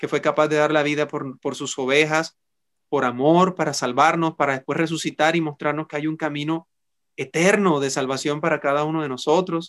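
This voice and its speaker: Calm tone from a man with fairly high pitch and monotone, flat intonation, dry, close sound with no echo, and a quiet background. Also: moderate pace. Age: 40s. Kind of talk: sermon; casual chat.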